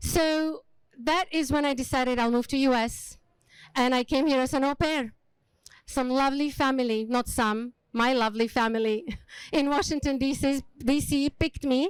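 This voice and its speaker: Very even in loudness and fairly even in intonation, a woman's high-pitched voice comes through a very clean recording with a silent background. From Slovakia, small village. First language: Slovak. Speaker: hospitality leader and speaker. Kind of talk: motivational talk. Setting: stage with small audience.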